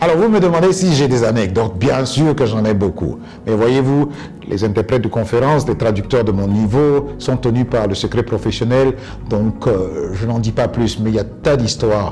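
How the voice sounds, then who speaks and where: With music in the background, a man at a medium pitch speaks at a moderate pace, using lively intonation and very even loudness. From Côte d'Ivoire. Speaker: English coach and former UN interpreter. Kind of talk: interview answer.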